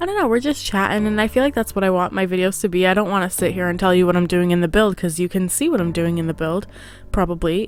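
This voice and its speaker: Speaking at a very fast pace, a woman keeps a medium pitch, very even loudness and ordinary pitch variation. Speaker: gaming youtuber. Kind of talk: casual chat voiceover. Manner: mellow, relaxed.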